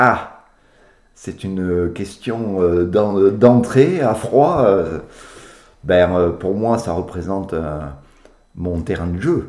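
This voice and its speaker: His pitch is fairly low, and this man speaks at a very slow pace with ordinary pitch variation. Long, frequent pauses run through his speech. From Béarn, southwest France. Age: 60s. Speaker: caver. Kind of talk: interview. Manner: halting, many fillers.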